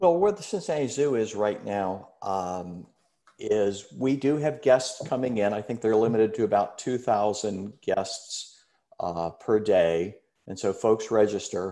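Over a quiet background, a man with an American accent speaks fairly slowly, his fairly low voice dark and mellow with ordinary pitch variation. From US Midwest. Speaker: retired researcher and alumnus. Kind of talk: informational webinar. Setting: video call. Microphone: video call.

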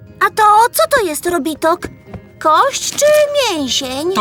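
A cartoonish character voice at an extremely high pitch speaks at a fairly slow pace, with clear music in the background. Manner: lively, eager.

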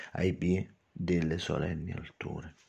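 In a dramatic tone, a man speaks fairly slowly with a very deep, low pitch, ordinary pitch variation and vocal fry. The background is quiet. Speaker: poet and channel host. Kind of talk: poetry reading, slow and theatrical, with spoken commentary. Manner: dramatic, ornate, lingering on florid words; emphatic, repetitive, fond of explaining his own verses. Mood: emotional, wistful. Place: home room. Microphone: phone near.

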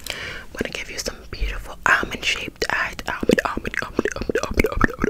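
Over loud background noise, a soft-spoken, breathy woman talks at a fairly quick pace with hardly any pauses. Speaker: ASMR creator. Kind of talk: ASMR role play, soft repetitive talk. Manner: soft, breathy repeated ASMR words. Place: home room.

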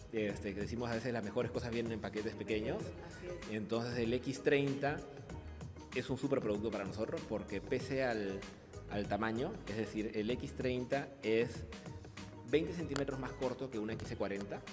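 Clear music plays in the background as a man talks at a fairly slow pace, with ordinary pitch variation and long, frequent pauses. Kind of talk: interview answer. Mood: upbeat, smiling. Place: shop. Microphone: handheld.

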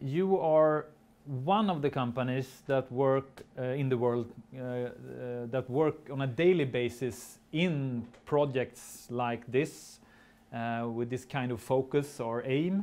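A man speaks with a Swedish accent. His pace is very slow. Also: ordinary pitch variation. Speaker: seminar moderator. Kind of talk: speaker introduction. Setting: seminar with live audience. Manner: halting. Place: meeting room.

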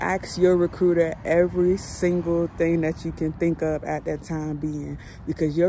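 A woman is speaking. The sound is dry with no echo, with light background noise. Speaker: truck driver vlogger. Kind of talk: casual vlog chat. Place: street. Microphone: phone near.

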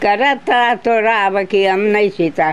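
A woman speaks at a fairly high pitch, and her pitch varies in an ordinary way. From Fiji. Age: 80s+. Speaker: elderly interviewee; interviewee. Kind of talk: interview. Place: home room.

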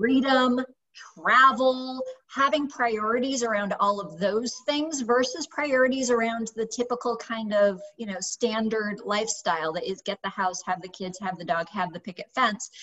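At a moderate pace, a woman with an American accent talks at a fairly high pitch with ordinary pitch variation. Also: big swings in loudness. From United States. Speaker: YouTube host. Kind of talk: interview. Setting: video call. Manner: animated. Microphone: webcam.

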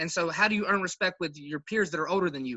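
Talking at a fast pace, a man uses a fairly high pitch, a bright, sharp tone and ordinary pitch variation.

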